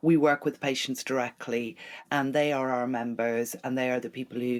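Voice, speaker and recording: Someone with an Irish accent speaks with fairly even intonation on a very clean recording with a silent background. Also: woman. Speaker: charity chief executive. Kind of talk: interview.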